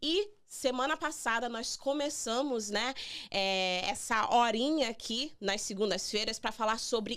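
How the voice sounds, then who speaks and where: A woman's high-pitched voice at a fairly slow pace, with lively intonation and hardly any pauses, on a very clean recording with a silent background. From Brazil. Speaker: immigration lawyer hosting radio show. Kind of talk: radio interview with guest. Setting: radio studio.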